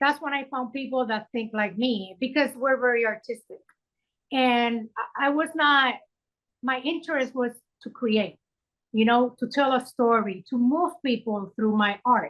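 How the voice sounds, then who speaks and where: Speaking at a fairly slow pace, a woman with a Puerto Rican accent uses a high pitch and ordinary pitch variation. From Puerto Rico. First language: Spanish. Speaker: filmmaker. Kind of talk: interview. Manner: animated.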